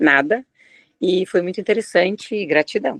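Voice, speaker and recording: The pitch varies in an ordinary way at a moderate speed. It sounds dry and close, without any echo. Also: woman. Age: 60s. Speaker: course participant. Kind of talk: casual Q&A comment. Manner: halting, with many fillers.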